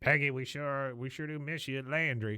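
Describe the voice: Doing a gruff character voice, a man speaks at medium pitch. His pace is moderate and his intonation fairly even.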